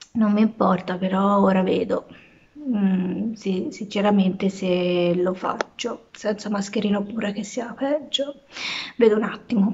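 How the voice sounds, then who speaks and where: At a fairly slow pace, a woman is talking. Her pitch variation is ordinary. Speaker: vlogger and stay-at-home mom; vlogger. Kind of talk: casual vlog talk to camera. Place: home room. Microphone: phone near.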